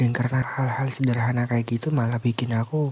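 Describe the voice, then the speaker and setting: A man's dark, mellow, somewhat breathy voice at medium pitch, calm in tone, at a moderate pace, with monotone, flat intonation. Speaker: sleep call / ASMR content creator. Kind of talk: casual sleep call talk, confessional voice message. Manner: calm, intimate, conversational.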